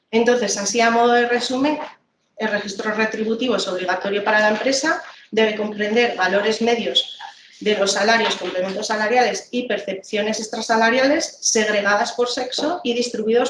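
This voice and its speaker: A woman's fairly high voice shows ordinary pitch variation, with audible room echo and light background noise. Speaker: labor inspector presenting a tool; trainer presenting slides. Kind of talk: training presentation. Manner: fast; hesitant, many fillers. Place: office. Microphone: video call.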